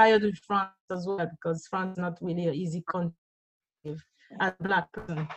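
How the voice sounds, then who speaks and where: Over a dry, close sound with no echo, a woman in a French Caribbean accent speaks fairly quickly, somewhat breathy and fairly low in pitch, with long, frequent pauses. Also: fairly even intonation. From Guadeloupe. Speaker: musician. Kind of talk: interview.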